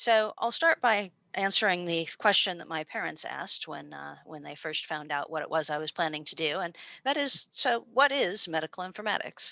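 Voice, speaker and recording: A woman with an American accent speaks at a moderate pace, her fairly low voice bright and sharp with vocal fry, lively intonation and big swings in loudness. The sound is dry and close with no echo, over a quiet background. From US. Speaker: university lecturer. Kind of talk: informational presentation. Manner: many filler words.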